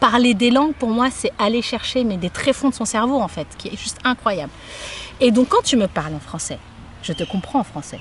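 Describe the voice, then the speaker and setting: A woman's high voice with lively intonation at a moderate pace, amid noticeable background noise. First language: Somali (speaking French). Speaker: interviewee sharing life experience. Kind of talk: casual interview conversation. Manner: hesitant, with frequent repetitions.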